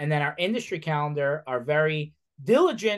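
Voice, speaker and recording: An unremarkable speaking voice with an American accent talks at a moderate pace over a quiet background. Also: man. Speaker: podcast host. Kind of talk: casual interview chat.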